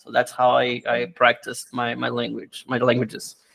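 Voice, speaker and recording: A man with a Brazilian Portuguese accent speaks at a moderate pace and medium pitch. His intonation is monotone and flat. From Brazil, Rio de Janeiro. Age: 30s. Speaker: language teacher. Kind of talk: interview. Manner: halting.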